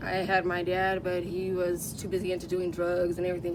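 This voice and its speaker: A woman with an American accent speaks in a fairly low pitch and a flat monotone, amid audible room echo and noticeable background noise. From Southern California, San Bernardino County. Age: 30s. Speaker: homeless woman. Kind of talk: interview. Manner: casual, halting with fillers.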